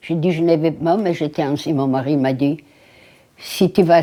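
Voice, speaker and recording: Speaking at a fairly slow pace, a woman uses a very deep, low pitch and a dark, mellow tone, with ordinary pitch variation. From Lithuania. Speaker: Holocaust survivor. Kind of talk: interview answer.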